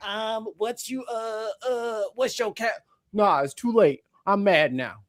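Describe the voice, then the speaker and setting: Speech at a very slow pace comes through a very clean recording with a silent background. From Saint Louis, US Midwest. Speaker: caller on a live show. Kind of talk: casual chat. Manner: animated.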